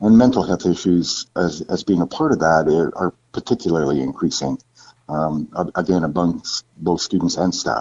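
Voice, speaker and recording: A man's very deep, low voice with a Canadian accent, at a moderate pace, with ordinary pitch variation. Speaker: school board trustee candidate, former college instructor. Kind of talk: interview. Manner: halting, many fillers and repeats.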